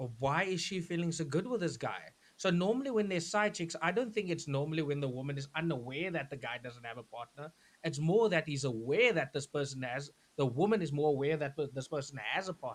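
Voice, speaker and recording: Pitched fairly high, this man has lively intonation. He talks at a fairly quick pace. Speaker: talk show co-host. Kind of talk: casual panel discussion.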